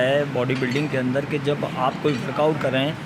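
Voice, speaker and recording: A man talks in a room with audible echo and noticeable background noise. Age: 60s. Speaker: retired bodybuilder. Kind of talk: interview.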